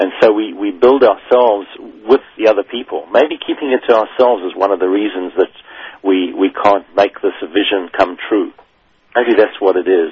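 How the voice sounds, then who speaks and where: A man talks in a normal speaking voice at a moderate pace. His pitch is fairly low, with ordinary variation. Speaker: business radio host. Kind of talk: radio interview. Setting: studio.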